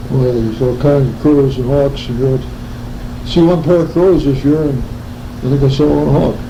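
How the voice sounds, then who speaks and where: A man's fairly high voice at a moderate pace, with fairly even intonation, long, frequent pauses and noticeable background noise. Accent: American. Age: 80s+. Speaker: farmer. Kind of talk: interview answer.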